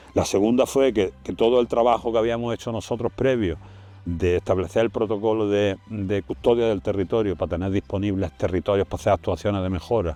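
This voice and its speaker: Fairly low in pitch, a man speaks fairly quickly in a dark, mellow tone with ordinary pitch variation. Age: 70s. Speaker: retired conservation project director. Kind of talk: interview testimony. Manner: halting, with repetitions.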